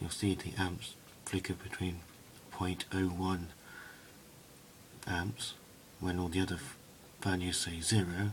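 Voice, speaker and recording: A soft-spoken man talks at a fairly slow pace. His very deep, low voice holds a monotone, flat intonation. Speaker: hobbyist video maker. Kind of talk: tutorial. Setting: indoors at home at night.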